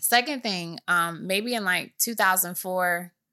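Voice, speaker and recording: Bright and sharp in tone, a woman with an American accent speaks at a fairly low pitch, her voice dry and close with no echo in a very clean recording with a silent background. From Michigan, US. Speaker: business CEO. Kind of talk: casual interview.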